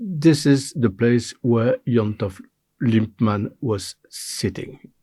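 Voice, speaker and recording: At a very slow pace, a man speaks in a somewhat breathy voice with a dark, mellow tone. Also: medium pitch for a man, ordinary pitch variation. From Belgium, French-speaking. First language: French. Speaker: interviewee, retired manager. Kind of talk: interview. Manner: halting, many fillers.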